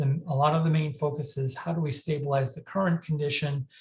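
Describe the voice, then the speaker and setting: Somewhat breathy, a man talks at a fairly high pitch. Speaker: mental health crisis services director and presenter. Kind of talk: lecture. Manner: fast; halting, many fillers and restarts.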